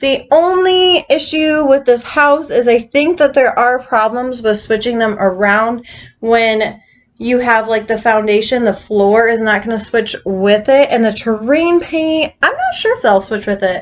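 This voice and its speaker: At a fairly slow pace, a woman talks in a normal speaking voice with fairly high pitch and lively intonation. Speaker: gaming YouTuber. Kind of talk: voice-over commentary for a game build video. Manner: casual, filler-heavy.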